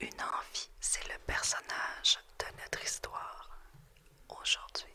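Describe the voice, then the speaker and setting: Through noticeable background noise, a woman whispers at a very slow pace. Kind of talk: ASMR tarot reading. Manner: whispered, soft-spoken.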